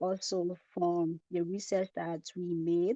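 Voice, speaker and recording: Soft-spoken and very slow, a woman speaks in a fairly low, dark, mellow tone with fairly even intonation, the sound dry and close with no echo. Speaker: student presenter. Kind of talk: online group presentation.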